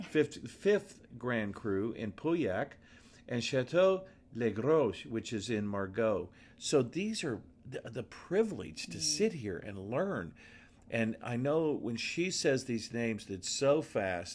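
At a very slow pace, a man with a medium pitch speaks with very wide pitch swings. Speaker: podcast host. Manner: enthusiastic.

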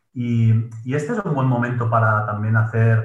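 A man talks at a moderate pace in an ordinary speaking voice. His medium pitch stays in fairly even intonation. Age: 30s. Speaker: productivity coach and gym manager. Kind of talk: interview.

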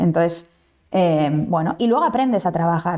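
With a dark, mellow tone and lively intonation, a woman speaks at a moderate pace. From Basque Country, Spain. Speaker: startup founder and CEO. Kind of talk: interview.

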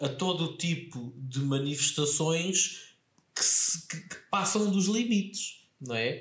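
A man at a very slow pace with lively intonation, in audible room echo. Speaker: podcast co-host. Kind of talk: casual chat.

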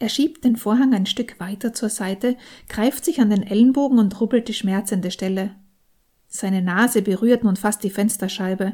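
A woman with a dark, mellow tone and a somewhat breathy voice speaks at a moderate pace in a fairly high pitch with ordinary pitch variation. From Austria. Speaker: novelist. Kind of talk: reading aloud.

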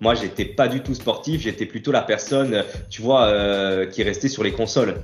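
A man speaks in an unremarkable speaking voice at a moderate pace, with a medium pitch and ordinary pitch variation. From Corsica, Ajaccio. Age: 30s. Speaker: bodybuilder and fitness coach. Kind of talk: casual interview.

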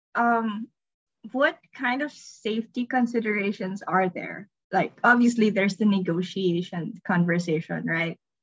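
Somewhat breathy, a woman talks fairly slowly at medium pitch with ordinary pitch variation. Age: 30s. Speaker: podcast host. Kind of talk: casual interview.

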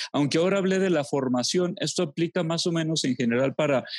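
The recording is very clean, with a silent background. A man speaks at a fairly high pitch, varying it in an ordinary way. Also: dry, close sound with no echo. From Mexico, Los Altos de Jalisco. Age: 40s. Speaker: theologian and psychologist. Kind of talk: interview. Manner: halting.

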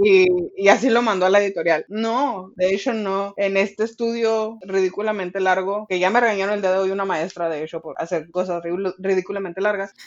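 With a Mexican accent, a woman talks at a fairly quick pace with fairly even intonation and hardly any pauses. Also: medium pitch for a woman. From Mexico, rural ranch upbringing. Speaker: literature podcast co-host. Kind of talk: casual chat about a book.

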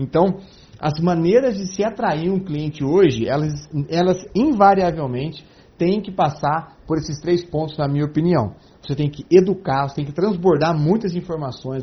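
The speaker is a man with a fairly high pitch. He talks at a moderate pace with ordinary pitch variation. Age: 40s. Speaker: sales and marketing consultant. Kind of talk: interview.

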